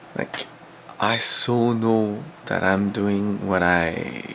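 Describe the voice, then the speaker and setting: Over noticeable background noise, a man speaks at a very slow pace in a fairly low voice. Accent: French. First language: French. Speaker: former English teacher in Korea. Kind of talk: video diary talk to camera. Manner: casual.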